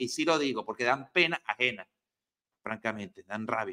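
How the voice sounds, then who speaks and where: Over a quiet background, a man speaks at a moderate pace in an animated, bright, sharp tone with lively intonation. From Venezuela. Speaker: news commentary host. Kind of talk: news commentary. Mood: indignant, angry at government. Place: home room. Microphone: video call.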